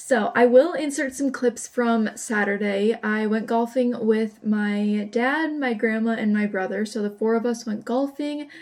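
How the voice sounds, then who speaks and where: A woman with an ordinary speaking voice talks at a fairly slow pace with hardly any pauses. Her pitch is fairly high, with ordinary variation. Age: 20s. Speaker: vlogger. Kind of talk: casual vlog talk. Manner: chatty.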